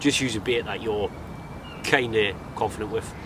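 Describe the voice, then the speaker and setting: Noticeable background noise sits behind a man speaking with a northeast English accent. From northeast England. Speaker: angling vlogger. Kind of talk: outdoor vlog tutorial. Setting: outdoors by a lake. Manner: casual, jokey.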